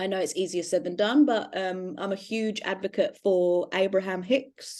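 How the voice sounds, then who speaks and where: A woman with a British accent, a medium pitch, ordinary pitch variation and a moderate pace. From Britain. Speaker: astrology podcast co-host, self-described witch. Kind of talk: casual chat.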